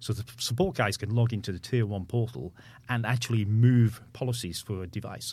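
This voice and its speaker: A man with a medium pitch and a somewhat breathy voice speaks with ordinary pitch variation. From Manchester, England. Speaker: company founder. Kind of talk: casual interview.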